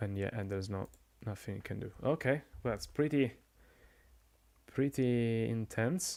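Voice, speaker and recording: A man with a dark, mellow tone talks at a fairly slow pace with long, frequent pauses. His pitch sits in the middle range with ordinary variation, on a very clean recording with a silent background. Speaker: game commentator and streamer. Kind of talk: live commentary. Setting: live stream. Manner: soft-spoken; halting.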